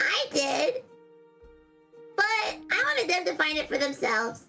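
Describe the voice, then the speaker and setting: Over faint background music, a put-on character voice at an extremely high pitch moves along at a moderate pace. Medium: dub.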